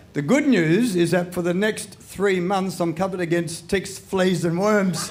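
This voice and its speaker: In an Australian accent, the speaker talks at a fairly slow pace with fairly even intonation and very even loudness, amid noticeable background noise and audible room echo. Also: man, high pitch for a man. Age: 70s. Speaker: comedian. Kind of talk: stand-up. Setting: stage with audience.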